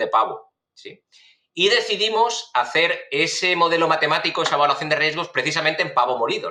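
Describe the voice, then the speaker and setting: A man with a high pitch and a bright, sharp tone talks at a fairly quick pace with ordinary pitch variation. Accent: Spanish. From Spain, Valencia. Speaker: food safety researcher, professor. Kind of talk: podcast interview. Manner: hesitant, many fillers.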